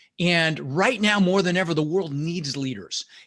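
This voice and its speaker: Animated in tone, a man speaks with lively intonation. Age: 60s. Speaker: real estate investor and business coach. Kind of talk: podcast interview.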